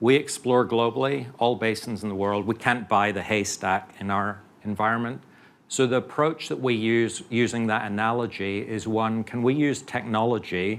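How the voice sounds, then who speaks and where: A man with a British accent, medium in pitch, fairly even in intonation, at a moderate pace. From UK. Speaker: oil company geoscientist executive. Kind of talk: conference panel talk.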